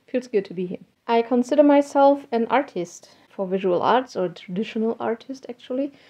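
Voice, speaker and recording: With a German accent, a woman talks at a moderate pace with hardly any pauses, her dark, mellow tone set at a fairly high pitch with ordinary pitch variation. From Germany. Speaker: hobby artist and technical translator. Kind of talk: casual vlog talk.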